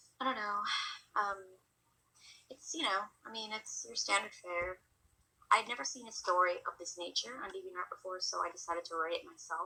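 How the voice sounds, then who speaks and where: Quiet woman at medium pitch with lively intonation, a fairly quick pace and long, frequent pauses. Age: 20s. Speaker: amateur fiction writer. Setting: at home, family sleeping. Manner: hesitant.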